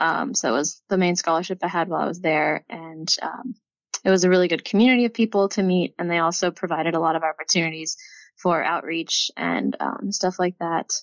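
Fairly low in pitch, a woman with an American accent speaks at a fairly quick pace. She has a plain, everyday voice with ordinary pitch variation. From Texas. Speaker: PhD student in chemical engineering. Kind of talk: casual interview.

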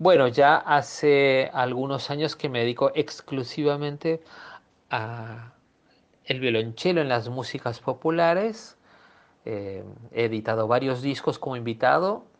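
This man has an ordinary speaking voice, medium in pitch, delivered at a fairly slow pace with ordinary pitch variation. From Peru. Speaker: cellist. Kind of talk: interview.

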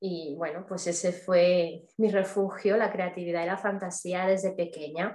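Speaking at a fairly slow pace, a woman has a medium pitch and hardly any pauses. Her intonation is monotone and flat. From Spain, Barcelona. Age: 30s. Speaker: artist. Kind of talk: interview.

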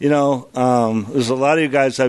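In a quiet background, a man speaks at a moderate pace in an ordinary speaking voice, medium in pitch, with fairly even intonation. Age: 50s. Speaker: AA speaker in recovery. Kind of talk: recovery testimony.

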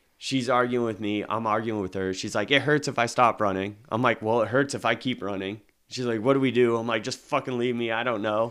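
A man with an unremarkable speaking voice and medium pitch talks fairly quickly with fairly even intonation and hardly any pauses, in a very clean recording with a silent background. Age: 30s. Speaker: podcast co-host. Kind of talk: casual chat.

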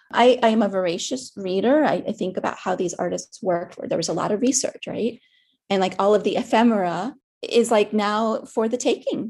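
Over a quiet background, a woman with a plain, everyday voice and an American accent speaks at a fairly high pitch and a fairly quick pace with ordinary pitch variation. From US, Miami. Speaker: artist. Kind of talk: interview. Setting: video call.

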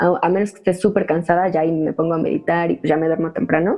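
Noticeable background noise can be heard. A woman with a Mexican accent speaks at a fairly quick pace. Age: 20s. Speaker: event organizer for women. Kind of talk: interview. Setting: remote recording. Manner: casual slangy. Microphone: audio problems.

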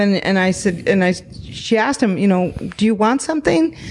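Against noticeable background noise, a woman speaks at a medium pitch with lively intonation. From Arizona, Phoenix area. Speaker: comedy troupe performer. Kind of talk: casual chat. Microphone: held too far from mouth.

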